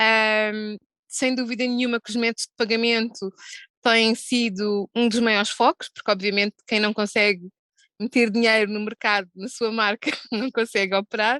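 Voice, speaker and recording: In a dry, close sound with no echo, a woman with a European Portuguese accent speaks at a moderate pace in a fairly high pitch, with a bright, sharp tone and monotone, flat intonation. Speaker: gaming industry executive. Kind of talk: panel discussion. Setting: video call. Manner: hesitant with fillers.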